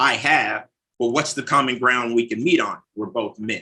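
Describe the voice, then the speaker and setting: A man in a Southern US accent speaks at a moderate pace with a bright, sharp tone. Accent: US South. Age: 40s. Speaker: recovering addict, mission manager. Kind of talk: interview conversation.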